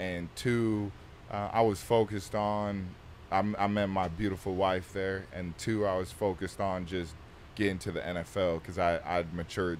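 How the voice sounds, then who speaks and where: A man speaks with a very deep, low pitch and monotone, flat intonation at a moderate pace. The sound is dry with no echo, over light background noise. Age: 20s. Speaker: pro football player; podcast guest. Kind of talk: casual chat. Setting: studio on a bus. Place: studio. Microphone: studio mic.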